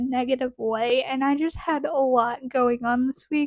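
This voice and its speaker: A woman talks in a high pitch with fairly even intonation. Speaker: vlogger and podcast host. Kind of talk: casual chat. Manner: fidgety, says like a lot.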